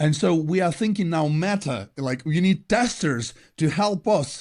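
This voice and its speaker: Against a quiet background, a man talks at a fairly high pitch with lively intonation. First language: not English. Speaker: podcast co-host. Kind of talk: casual chat.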